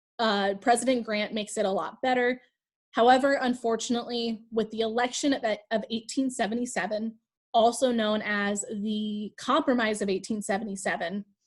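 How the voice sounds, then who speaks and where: A woman at a moderate pace, somewhat breathy, with fairly high pitch and fairly even intonation. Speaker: high school history teacher. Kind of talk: lecture. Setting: video call.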